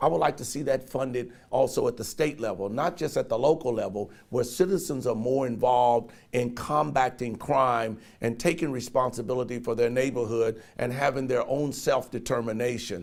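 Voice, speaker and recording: With an American accent, the speech moves at a moderate pace with ordinary pitch variation. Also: man, medium pitch for a man. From Cincinnati, Ohio. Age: 60s. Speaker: political candidate. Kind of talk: interview. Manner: hesitant fillers.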